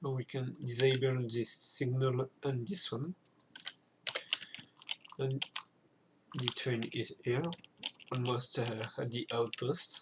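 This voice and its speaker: At a very slow pace, a man with a French accent speaks with long, frequent pauses. His pitch is medium, his intonation fairly even, and there is noticeable background noise. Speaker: video game content creator. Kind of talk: gameplay tutorial commentary. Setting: home recording with keyboard noise. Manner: hesitant, many filler sounds.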